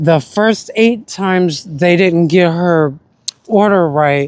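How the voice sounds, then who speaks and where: A very slow, high-pitched male voice with ordinary pitch variation. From US South, South Carolina. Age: 30s. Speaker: musician vlogger. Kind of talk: casual monologue.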